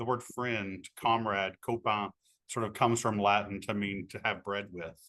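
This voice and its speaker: A man with an Appalachian accent speaks at a moderate pace against a quiet background. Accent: Appalachian American. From Appalachia, Kentucky. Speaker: author and teacher. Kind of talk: interview.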